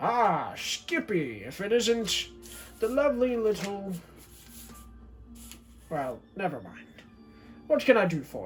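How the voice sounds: In a gruff, put-on character voice at a middle pitch, someone talks at a fairly slow pace with very wide pitch swings and long, frequent pauses over clear music in the background.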